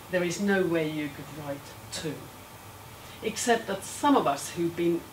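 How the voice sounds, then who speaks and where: Over noticeable background noise and audible room echo, a woman with a fairly low pitch speaks with lively intonation. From Finland. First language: Finnish. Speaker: education professor. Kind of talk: lecture.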